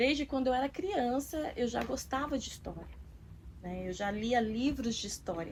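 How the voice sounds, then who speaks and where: Lively in intonation and high in pitch, a woman speaks at a moderate pace over noticeable background noise. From Osasco, São Paulo, Brazil. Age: 40s. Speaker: author and artist. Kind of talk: documentary interview.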